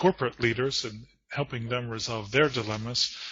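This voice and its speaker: A man's medium-pitched voice at a moderate pace, an ordinary speaking voice. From United States. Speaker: corporate trainer and lecturer. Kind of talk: conference presentation.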